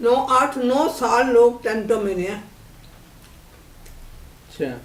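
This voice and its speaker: With noticeable background noise around her, a woman speaks in a high pitch with ordinary pitch variation. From Lahore, Pakistan. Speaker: partition survivor. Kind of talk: interview answer. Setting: home. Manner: candid, unguarded.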